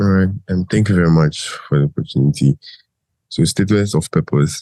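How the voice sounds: At a moderate pace, the voice has fairly even intonation and a slightly mellow tone in a dry, close sound with no echo. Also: man.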